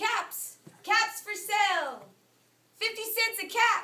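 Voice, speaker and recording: Using a put-on character voice at an extremely high pitch, a woman speaks in a raised, projected voice with fairly even intonation at a fairly slow pace. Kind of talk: read-aloud storytelling to children. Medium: read story.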